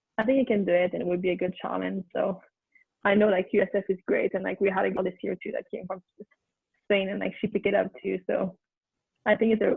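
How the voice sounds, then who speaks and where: A woman with a Quebec accent at a very fast pace. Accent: Québécois French accent in English. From Quebec City, Canada. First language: French. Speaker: former college soccer player. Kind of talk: interview. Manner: halting, many fillers.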